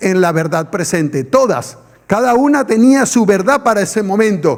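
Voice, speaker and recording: At a moderate pace, a man with a high voice makes very wide pitch swings while his loudness stays very even. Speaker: pastor. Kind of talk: sermon. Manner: animated.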